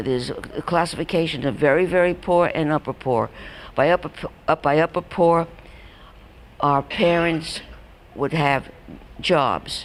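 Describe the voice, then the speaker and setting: With a New York accent, a woman speaks at a fairly slow pace and a fairly low pitch. She uses ordinary pitch variation and leaves long, frequent pauses. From New York, Brooklyn. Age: 80s+. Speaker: elderly storyteller. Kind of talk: personal reminiscence talk. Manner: halting.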